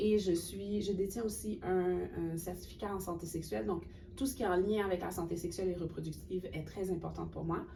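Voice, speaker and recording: There is vocal fry in a woman's dark, mellow tone. Room echo can be heard. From Haiti. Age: 30s. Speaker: cultural worker and graduate student. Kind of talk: webinar interview.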